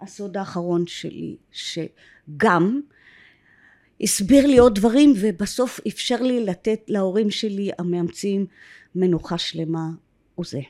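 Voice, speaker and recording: A woman with an English accent speaks at a very slow pace in a dark, mellow tone. Her intonation is lively, with big swings in loudness. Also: medium pitch for a woman. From Israel, kibbutz in Upper Galilee. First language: English (speaking Hebrew). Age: 60s. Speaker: adoptee sharing her story. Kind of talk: personal testimony interview. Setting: filmed podcast studio.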